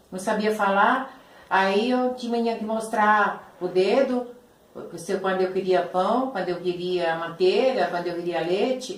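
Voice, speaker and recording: With an Italian accent, the speaker talks at a fairly slow pace over noticeable background noise, and audible room echo fills the space. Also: woman, medium pitch for a woman, ordinary pitch variation. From Italy. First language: Italian (speaking Portuguese). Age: 70s. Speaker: Italian immigrant interviewee. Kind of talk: interview. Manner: halting.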